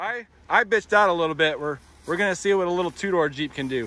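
Lively intonation marks this man's speech. He talks at a very fast pace, with a dry sound and no echo. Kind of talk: casual vlog chat. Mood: joking, excited. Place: waterside. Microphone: phone near.

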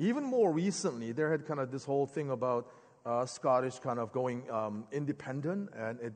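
The speech moves at a moderate pace with ordinary pitch variation over a quiet background. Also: man. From born in Korea, grew up in the US (Philadelphia). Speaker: preacher. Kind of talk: sermon. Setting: church sanctuary with congregation. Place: church. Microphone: headset.

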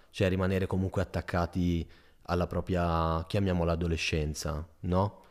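Delivery keeps a moderate pace. The background is silent, and the recording very clean. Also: man, very deep, low pitch for a man. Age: 20s. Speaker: PhD student. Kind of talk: casual interview chat. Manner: animated.

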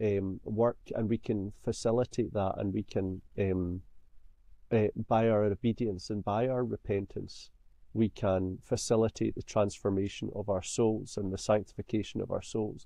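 A man in a Scottish accent, monotone and flat at a fairly slow pace, the sound dry with no echo. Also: quiet background. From Scotland. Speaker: songwriter; podcast guest. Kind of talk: interview. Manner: halting. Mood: thoughtful, earnest. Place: home room. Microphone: webcam.

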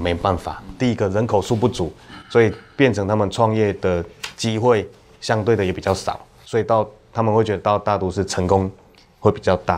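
A man with an unremarkable speaking voice, fairly low in pitch, at a fairly quick pace with fairly even intonation. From Taiwan. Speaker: county councillor; council guest. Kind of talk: panel discussion. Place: studio. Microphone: lapel.

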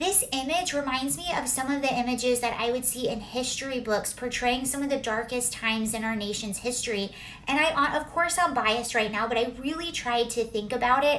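Over light background noise, a woman with a high pitch and ordinary pitch variation speaks at a fairly quick pace with hardly any pauses. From US California. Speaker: political commentator. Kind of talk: angry political rant, indignant commentary on a news clip. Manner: indignant, emphatic, sarcastic.

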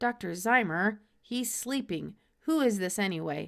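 Speaking at a fairly slow pace, a woman puts on a raspy, husky character voice at a medium pitch with lively intonation. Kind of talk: storybook read-aloud.

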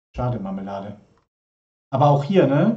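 A man's medium-pitched, somewhat breathy voice, dark and mellow in tone, at a moderate pace. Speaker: livestream host. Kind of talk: casual live stream chat. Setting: live stream studio. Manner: chatty, informal.

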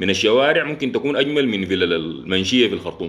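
This man speaks with a Sudanese accent and vocal fry. His pace is fairly quick. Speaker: engineer and live-stream host; live-stream host. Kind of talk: casual live talk to viewers. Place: home room. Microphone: phone near.

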